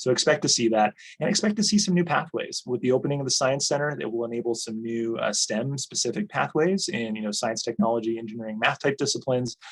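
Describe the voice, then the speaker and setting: A man rattles along at a very fast pace with hardly any pauses, a medium pitch and lively intonation. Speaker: college administrator. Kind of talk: online presentation.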